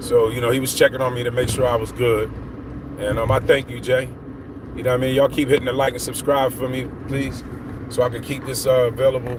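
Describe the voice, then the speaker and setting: A man at medium pitch talks at a very fast pace in a monotone, flat intonation. Noticeable background noise runs underneath. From Philadelphia, US. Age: 50s. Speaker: vlogger. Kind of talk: casual livestream monologue. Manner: rambling, conversational.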